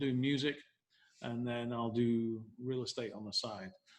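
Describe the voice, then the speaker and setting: A man with an English accent talks over a quiet background. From northern England, Leeds. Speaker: real estate broker. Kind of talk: interview.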